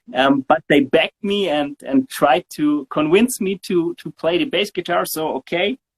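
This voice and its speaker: In a German accent, a high-pitched man talks at a moderate pace with lively intonation and hardly any pauses. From southern Germany. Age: 40s. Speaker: bass guitarist. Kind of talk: interview. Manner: halting.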